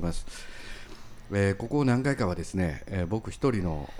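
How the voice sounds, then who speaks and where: A man with a very deep, low pitch, a Kansai accent, a dark, mellow tone and a moderate pace. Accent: Kansai Japanese. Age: 40s. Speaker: city councillor and podcast host. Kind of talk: casual political podcast chat. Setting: recorded podcast with a guest.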